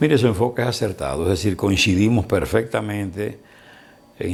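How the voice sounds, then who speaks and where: A man with a very deep, low pitch speaks at a moderate pace with lively intonation. Noticeable background noise is present. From Dominican Republic, Barahona. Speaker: lawyer, broadcaster, journalist and writer. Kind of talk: interview answer.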